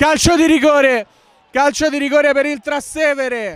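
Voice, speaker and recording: Noticeable background noise runs under the recording. Over it, a man talks at an extremely high pitch. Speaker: football commentator. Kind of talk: live football commentary, play-by-play radio style. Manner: fast, breathless, rapid-fire delivery; excited, rising intensity at chances and goals.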